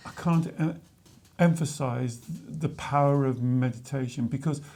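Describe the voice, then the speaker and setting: Somewhat breathy and dark, mellow in tone, a man speaks at a fairly high pitch with ordinary pitch variation. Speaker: spiritual coach. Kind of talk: casual chat. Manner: halting, repeats words.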